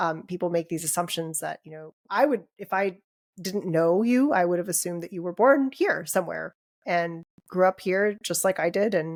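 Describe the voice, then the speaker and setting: A woman with an American accent and a plain, everyday voice talks at a moderate pace in a fairly low pitch, with ordinary pitch variation, big swings in loudness and a dry, close sound with no echo. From United States. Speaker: podcast co-host and dentist. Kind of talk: casual podcast conversation.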